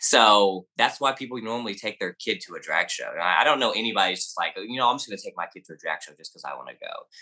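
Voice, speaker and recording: This man talks very fast with a Southern US accent, hardly any pauses, and big swings in loudness. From US South, Arkansas. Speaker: activist and drag queen. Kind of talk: interview.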